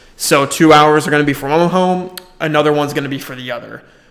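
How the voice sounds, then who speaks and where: A man's fairly high voice, fairly quick and monotone, with flat intonation. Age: 20s. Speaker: real estate agent vlogger. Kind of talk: casual vlog monologue. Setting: office.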